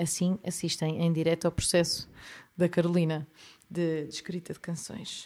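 A woman speaks at a moderate pace in a European Portuguese accent. Her tone is dark and mellow, her intonation monotone and flat. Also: fairly low pitch for a woman. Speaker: podcast host, songwriter. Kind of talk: casual interview.

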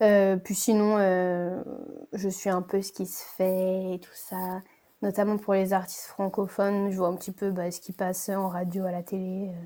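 Over a silent background in a very clean recording, a woman speaks at a medium pitch and a fairly slow pace. Her tone is dark and mellow, her intonation monotone and flat, and her loudness swings widely. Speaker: student. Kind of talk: casual interview.

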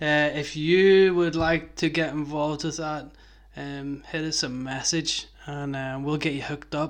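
In a Belfast accent, a man speaks fairly slowly with monotone, flat intonation. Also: fairly high pitch for a man. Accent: Belfast Northern Irish. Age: 30s. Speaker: skateboarding podcast host. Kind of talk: casual chat.

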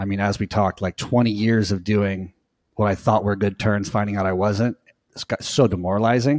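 The recording is very clean, with a silent background and a dry, close sound with no echo. A man with a Southern California accent speaks fairly quickly in a fairly low pitch with fairly even intonation. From US West Coast, Orange County, California. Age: 40s. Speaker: surf coach. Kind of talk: interview. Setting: podcast.

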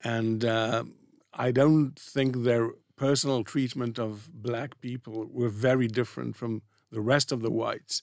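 Recorded very cleanly against a silent background, a man speaks at medium pitch and a fairly slow pace in a monotone, flat intonation. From Israel. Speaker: economics professor. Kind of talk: interview.

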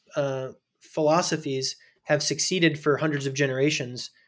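A man with an American accent speaks at a moderate pace. His pitch is fairly high. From US Midwest (small-town Indiana). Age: 30s. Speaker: nonprofit founder. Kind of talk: casual interview.

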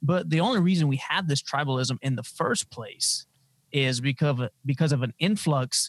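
The recording is very clean, with a silent background. A man speaks somewhat breathily at medium pitch, with ordinary pitch variation and a moderate pace. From Louisiana (Lafayette). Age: 20s. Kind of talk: interview.

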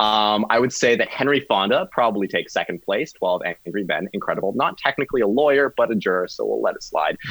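With a Canadian accent, the speaker goes at a very fast pace with hardly any pauses while music plays in the background. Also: man. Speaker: law student. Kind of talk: casual chat.

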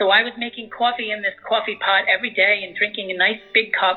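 With music in the background, a woman in an American accent talks at a fairly quick pace, her medium pitch showing ordinary pitch variation. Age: 50s. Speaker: visual artist. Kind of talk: interview. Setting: phone call.

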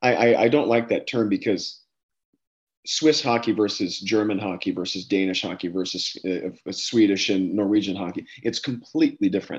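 A man with an American accent and a fairly low pitch talks at a moderate pace with ordinary pitch variation. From US East Coast, Dover, Delaware. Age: 30s. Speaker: hockey scout and coach. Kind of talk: interview.

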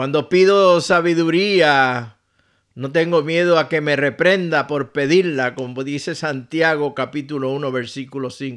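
A man with an unremarkable speaking voice talks at a fairly slow pace, his pitch fairly high and ordinary in its variation, on a very clean recording with a silent background. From Puerto Rico. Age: 60s. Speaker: pastor. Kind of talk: radio devotional message.

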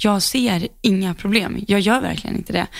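The speaker is a woman with a medium-pitched voice. Her recording is very clean, and the background is silent. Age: 20s. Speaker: podcast co-host, horse rider. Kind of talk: casual chat.

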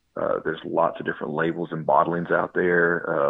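A man talks at a fairly quick pace. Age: 30s. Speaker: bourbon podcast host. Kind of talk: interview.

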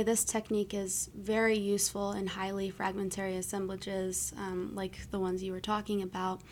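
This woman talks at a moderate pace with an American accent and a medium pitch. She has a normal speaking voice. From US East Coast. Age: 20s. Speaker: anthropology graduate student. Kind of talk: interview.

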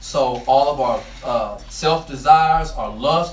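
A high-pitched man amid noticeable background noise and audible room echo. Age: 30s. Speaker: preacher. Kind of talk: sermon.

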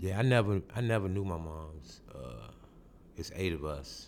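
A man's voice at a fairly slow pace, lively in intonation, with audible room echo. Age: 40s. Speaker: street newspaper vendor and writer. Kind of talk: interview, personal testimony. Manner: halting, repeats words.

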